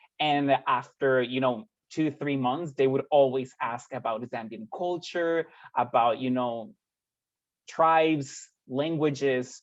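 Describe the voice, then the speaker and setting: A man speaks at a fairly slow pace in a medium pitch with fairly even intonation. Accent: Spanish. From Costa Rica. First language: Spanish. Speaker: recruiter for a volunteer service organization. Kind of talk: informational presentation.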